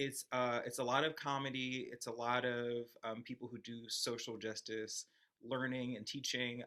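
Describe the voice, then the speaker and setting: Speaking at a medium pitch and a moderate pace, a man has a bright, sharp tone and monotone, flat intonation. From UK. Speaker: TikTok creator. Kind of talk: panel discussion. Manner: halting.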